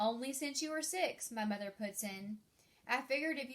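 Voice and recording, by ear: The speaker is reading aloud in a natural voice.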